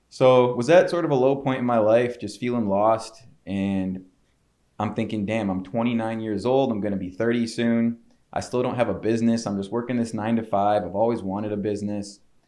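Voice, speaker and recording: Speaking with a Chicago accent, a man has a medium-pitched voice with a dark, mellow tone. His pace is fairly quick. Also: fairly even intonation. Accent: Chicago-area American. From Chicago suburbs, Illinois. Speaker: entrepreneur. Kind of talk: podcast interview. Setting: studio. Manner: casual, filler-heavy.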